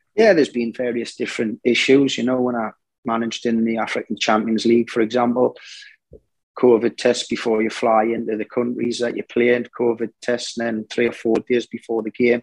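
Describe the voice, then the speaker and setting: A man with a Geordie accent speaks at medium pitch and a fairly quick pace in a monotone, flat intonation. The sound is dry and close, with no echo. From northern England, Newcastle. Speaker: football manager, former player. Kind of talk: interview.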